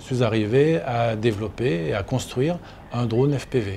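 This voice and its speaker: Somewhat breathy and dark, mellow in tone, a man speaks fairly slowly at medium pitch with lively intonation. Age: 60s. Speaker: engineer and drone builder. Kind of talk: interview testimony.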